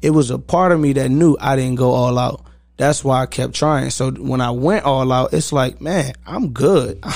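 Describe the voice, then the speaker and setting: At a moderate pace, a man with an American accent speaks in an ordinary speaking voice, at medium pitch and with ordinary pitch variation. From Virginia, Newport News. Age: 20s. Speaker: athlete coach and mentor. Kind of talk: casual interview chat.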